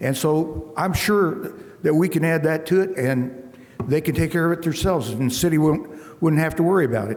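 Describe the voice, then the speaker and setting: Ordinary pitch variation against noticeable background noise. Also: man. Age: 70s. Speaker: property developer petitioner. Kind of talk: public hearing testimony. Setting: public meeting. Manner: halting.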